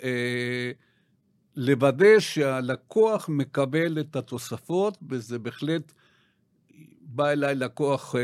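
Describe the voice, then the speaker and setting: In a South American accent, a man speaks very slowly at a fairly high pitch with lively intonation, on a very clean recording with a silent background. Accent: South American accent in Hebrew. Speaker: retirement financial planner. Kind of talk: podcast interview. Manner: halting, many fillers.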